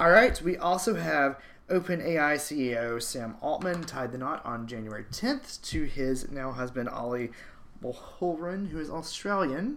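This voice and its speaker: This man has a plain, everyday voice with a fairly high pitch. He talks at a fairly slow pace with lively intonation. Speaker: podcast co-host. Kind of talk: casual chat.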